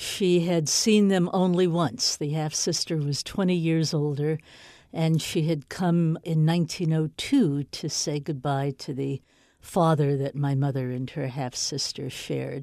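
With an American accent and a dark, mellow tone, a woman speaks at a fairly slow pace in a very deep, low pitch with ordinary variation, on a very clean recording with a silent background. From US (New York, later elsewhere). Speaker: author. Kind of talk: interview.

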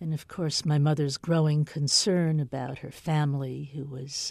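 A woman speaks fairly slowly at a very deep, low pitch, her tone dark and mellow. Her intonation stays monotone and flat on a very clean recording with a silent background. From US (New York, later elsewhere). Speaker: author. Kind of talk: interview.

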